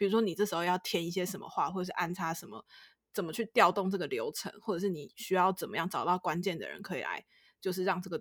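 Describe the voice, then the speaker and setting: Dry and close with no echo, this very clean recording with a silent background has a woman talking very fast at a medium pitch with fairly even intonation. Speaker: podcast co-host. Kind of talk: casual chat. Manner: words run together.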